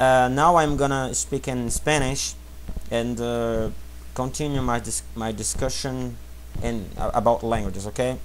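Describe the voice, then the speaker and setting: A man speaks in a Portuguese accent at a fairly slow pace. Audible room echo surrounds his voice. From Brazil. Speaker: language teacher. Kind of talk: tutorial. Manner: halting.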